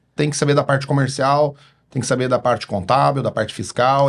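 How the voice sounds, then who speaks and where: With a Paraná accent, a man speaks at a fairly quick pace in a fairly high pitch with vocal fry, in a very clean recording with a silent background. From Paraná, Brazil (interior, Cambará). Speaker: pharmacist and distribution company founder. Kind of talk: podcast interview.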